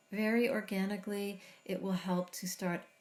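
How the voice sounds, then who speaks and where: A woman with a medium pitch speaks in a calm, soothing, somewhat breathy tone. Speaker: meditation guide. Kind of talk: guided meditation. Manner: slow, calm, soothing.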